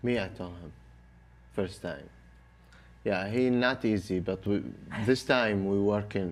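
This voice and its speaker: A man with an Arabic accent speaks at a fairly low pitch with ordinary pitch variation. His pace is fairly slow, with long, frequent pauses. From Iraq. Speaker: Iraqi soldier. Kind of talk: interview. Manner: halting.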